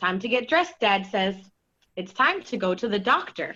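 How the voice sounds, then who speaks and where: At a moderate pace, a woman of medium pitch talks in a bright, sharp tone with very wide pitch swings and big swings in loudness. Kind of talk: children's story reading.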